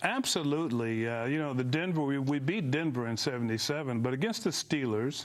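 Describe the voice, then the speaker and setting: A man's fairly high voice with an American accent, very even in loudness, with audible room echo. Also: ordinary pitch variation, fairly quick pace. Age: 60s. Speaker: former football player. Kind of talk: TV interview.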